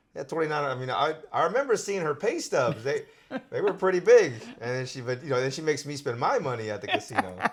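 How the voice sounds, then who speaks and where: A man speaks at a very fast pace with a fairly high, somewhat breathy voice. His pitch swings very widely. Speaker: channel host. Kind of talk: casual talk to camera.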